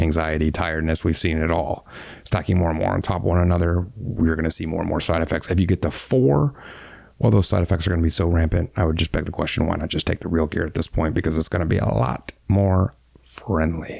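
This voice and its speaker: The voice is energetic and very fast, with vocal fry and ordinary pitch variation. The recording is very clean, with a silent background. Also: man, very deep, low pitch for a man. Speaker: fitness YouTuber, former fitness coach. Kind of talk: Q&A explainer video. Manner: energetic, casual.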